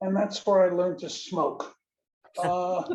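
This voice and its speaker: With a New York accent, a man speaks at a moderate pace in a high pitch and a flat monotone. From New York City (South Bronx). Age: 80s+. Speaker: audience member. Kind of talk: Q&A comment. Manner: halting.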